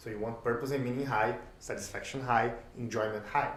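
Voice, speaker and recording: A man at medium pitch and a moderate pace, with ordinary pitch variation, audible room echo and noticeable background noise. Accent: Portuguese. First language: Portuguese. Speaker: sports coach and lecturer. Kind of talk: lecture. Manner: halting.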